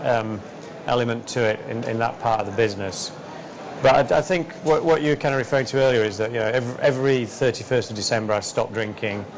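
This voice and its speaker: The speaker has a Yorkshire accent and ordinary pitch variation. The pace is very fast, with noticeable background noise. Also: man, medium pitch for a man. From West Yorkshire, England. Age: 40s. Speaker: entrepreneur and racing driver. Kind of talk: interview answer.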